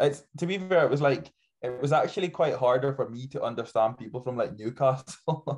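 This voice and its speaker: A somewhat breathy man's voice, fairly high in pitch, at a fairly quick pace with ordinary pitch variation. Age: young. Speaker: natural bodybuilder. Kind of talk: casual podcast interview. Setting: podcast.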